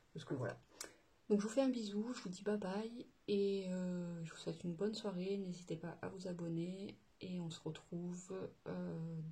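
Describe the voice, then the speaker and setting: A woman's somewhat breathy voice, dark and mellow in tone, with ordinary pitch variation at a moderate pace. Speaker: budgeting vlogger. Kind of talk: casual vlog chat. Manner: hesitant, many fillers.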